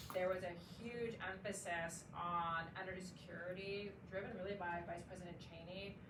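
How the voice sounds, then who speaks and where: Amid audible room echo and noticeable background noise, a woman of medium pitch speaks at a moderate pace in a monotone, flat intonation. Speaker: commodity strategist and former intelligence analyst. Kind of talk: panel discussion. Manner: loud.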